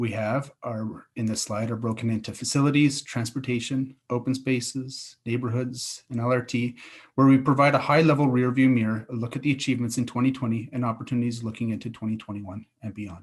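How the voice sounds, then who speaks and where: On a very clean recording with a silent background, a man with a Canadian accent talks at a fairly quick pace with hardly any pauses. His voice is somewhat breathy, his intonation flat and monotone. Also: medium pitch for a man. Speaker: city infrastructure director. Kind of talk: conference presentation. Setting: virtual event. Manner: fast.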